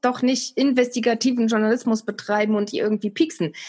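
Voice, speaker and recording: This is a woman with a high pitch. She speaks at a fairly quick pace. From East Germany. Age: 40s. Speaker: TV and radio presenter. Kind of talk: casual interview.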